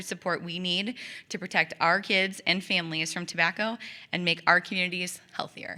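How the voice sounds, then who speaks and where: A woman's bright, sharp, medium-pitched voice at a moderate pace with fairly even intonation. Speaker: tobacco prevention coalition coordinator. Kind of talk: public presentation. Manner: loud.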